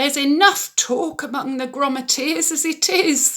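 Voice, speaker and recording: In a put-on character voice, the speaker sounds shaky and high-pitched at a moderate pace. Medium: read story.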